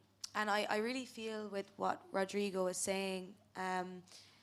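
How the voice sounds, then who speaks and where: Speaking very slowly, a woman with a Cork accent uses a medium pitch. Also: monotone, flat intonation. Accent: Irish, Cork. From West Cork, Ireland. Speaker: law student, climate activist. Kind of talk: panel discussion.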